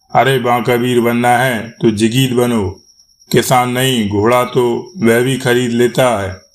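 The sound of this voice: An unforced reading voice is heard, with a quiet background behind it.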